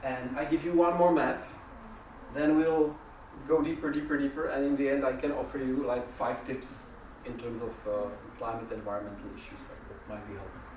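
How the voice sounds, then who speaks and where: The speaker has a non-native accent and a moderate pace. Background noise is noticeable. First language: not English. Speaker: workshop facilitator. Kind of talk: interactive workshop talk. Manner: halting.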